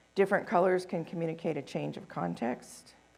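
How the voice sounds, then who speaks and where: The speaker is a woman with a fairly low pitch. Vocal fry runs through her voice. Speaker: conference presenter. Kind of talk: conference presentation. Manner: fast.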